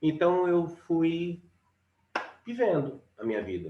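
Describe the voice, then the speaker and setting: A man with a high pitch, a dark, mellow tone, very wide pitch swings and a very slow pace. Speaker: musician. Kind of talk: casual chat. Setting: live stream. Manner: loud.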